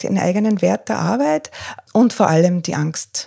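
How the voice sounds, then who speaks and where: A woman's somewhat breathy voice has a dark, mellow tone and lively intonation. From Austria, Tyrol. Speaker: freelance journalist and coach. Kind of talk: interview. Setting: living room at home. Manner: hesitant, many fillers.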